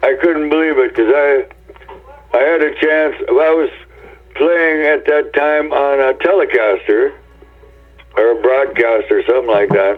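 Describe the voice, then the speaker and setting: With music in the background, a man with an American accent speaks fairly slowly at a very even loudness, leaving long, frequent pauses. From US Pacific Northwest, Tacoma, Washington. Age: 70s. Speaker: rock guitarist. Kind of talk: interview. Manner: halting, many fillers.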